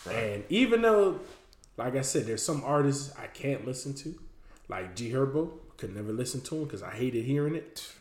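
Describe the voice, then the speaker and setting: Somewhat breathy and fairly high-pitched, a man with an American accent speaks at a fairly quick pace with lively intonation, amid audible room echo. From Miami, Florida. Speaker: podcast co-host. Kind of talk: casual chat.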